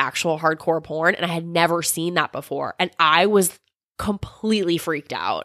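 A woman's fairly low, bright and sharp voice, fairly even in intonation and at a moderate pace, in a very clean, silent recording with a dry, close sound and no echo. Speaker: podcast host. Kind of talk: casual chat.

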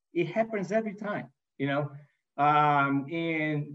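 Ordinary pitch variation in a Brazilian accent. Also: man. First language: Portuguese. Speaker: manufacturing executive. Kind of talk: interview. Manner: hesitant, many fillers.

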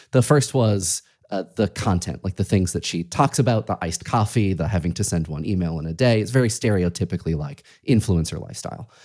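On a very clean recording with a silent background, a man with an American accent talks fairly quickly in a plain, everyday voice, fairly low in pitch and with lively intonation. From Massachusetts. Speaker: podcast host. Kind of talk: interview.

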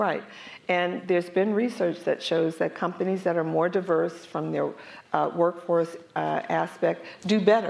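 A woman with an American accent, fairly low pitch, vocal fry, fairly even intonation, and a fairly slow pace. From US, North Philadelphia. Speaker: corporate diversity executive. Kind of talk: panel interview on stage. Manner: halting, repeats words.

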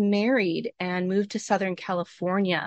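Speaking with an American accent and an unremarkable speaking voice, a woman talks at a medium pitch and a fairly slow pace, with a quiet background and a dry, close sound with no echo. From US Pacific Northwest. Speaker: wellness podcast host. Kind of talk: casual interview chat.

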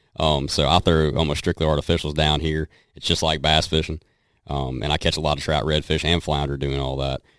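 In a Southern US accent, a man with a very deep, low pitch talks at a fairly quick pace with monotone, flat intonation. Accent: Southern twang. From western North Carolina. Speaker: country singer and hunter. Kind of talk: casual chat.

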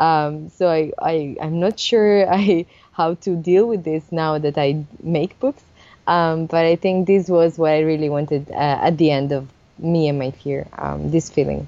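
A woman's very deep, low voice in an Italian accent, fairly even in intonation, at a fairly slow pace. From Italy, Sardinia. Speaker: illustrator and picture book author. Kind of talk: interview.

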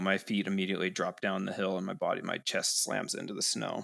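On a very clean recording with a silent background, a man with an American accent and a normal speaking voice talks at a fairly quick pace with fairly even intonation. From US Pacific Northwest, Seattle. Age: 20s. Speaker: skier and climber telling an accident story. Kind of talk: casual interview, personal story. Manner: frequent fillers (um, kinda).

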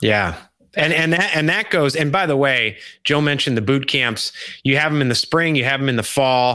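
The speaker uses an ordinary speaking voice with ordinary pitch variation, very even loudness and a moderate pace. The recording is very clean, with a silent background. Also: man, fairly high pitch for a man. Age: 40s. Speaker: podcast host. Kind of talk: interview. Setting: live stream interview. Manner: conversational.

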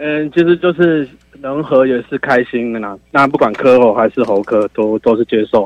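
A man with a Taiwanese accent speaks at medium pitch. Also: ordinary pitch variation, moderate pace. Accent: Taiwanese Mandarin. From Taiwan, Taichung. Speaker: caller. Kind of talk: call-in opinion.

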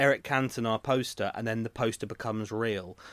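A man with a medium pitch and fairly even intonation uses a normal speaking voice. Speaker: podcast host. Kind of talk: casual chat. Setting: video call.

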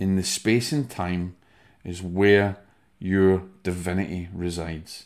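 The speaker talks with a Scottish accent. The recording is very clean, with a silent background. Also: man. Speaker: spiritual medium and podcast host. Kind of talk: motivational talk with breathing instruction.

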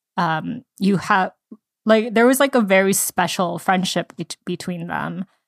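The voice has vocal fry and ordinary pitch variation, moving at a fairly slow pace with a dry, close sound and no echo. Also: woman. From immigrated to US at age three. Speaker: podcast co-host. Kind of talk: casual book discussion.

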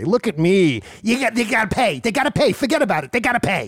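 The voice is a put-on character with a fairly high pitch. It moves at a moderate pace. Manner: threatening, exaggerated.

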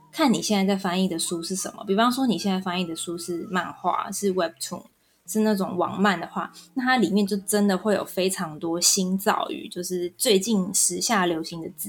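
A woman talks at a moderate pace and a medium pitch, with ordinary pitch variation. It is an unremarkable speaking voice. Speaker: Korean-Chinese translator. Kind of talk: interview. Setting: online recording.

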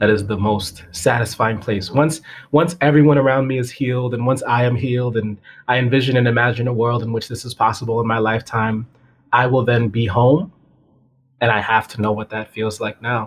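A man with an American accent speaks at a fairly quick pace, his somewhat breathy voice holding a fairly even intonation. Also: medium pitch for a man. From Massachusetts (Springfield). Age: 30s. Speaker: physics teacher. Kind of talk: casual chat. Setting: call.

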